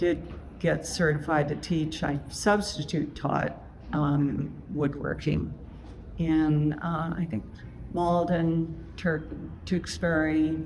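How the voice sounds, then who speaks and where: With an American accent, a woman speaks very slowly at a very deep, low pitch with vocal fry and monotone, flat intonation, leaving long, frequent pauses amid audible room echo. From US South, Atlanta, Georgia. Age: 80s+. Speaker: furniture maker and former admissions director. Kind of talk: public onstage interview. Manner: hesitant, many fillers.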